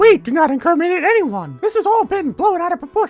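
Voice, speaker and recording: A put-on character voice at a very fast pace, with faint music in the background. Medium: machinima.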